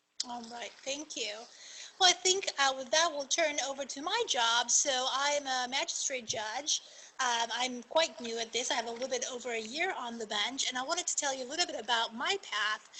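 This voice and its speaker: A woman's high voice at a moderate pace, with ordinary pitch variation and noticeable background noise. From Argentina. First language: Spanish. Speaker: magistrate judge. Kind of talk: panel talk.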